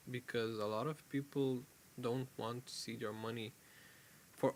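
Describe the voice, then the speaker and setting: A man speaks at a medium pitch in a flat monotone, with a non-native accent. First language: not English. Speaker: crypto YouTuber. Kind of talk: casual market commentary video. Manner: halting, self-correcting.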